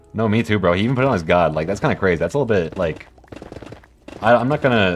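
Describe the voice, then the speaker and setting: A man talks at a very fast pace while music plays in the background. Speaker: video game streamer. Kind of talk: live stream chat while gaming. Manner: monotone; casual, filler-heavy.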